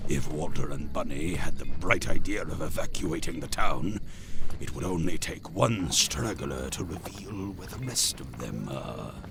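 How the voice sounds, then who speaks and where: A man's put-on character voice with a very deep, low pitch, at a moderate pace over clear background noise. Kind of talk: 1940s radio acting. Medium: audio drama. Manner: smooth, pompous, sinister.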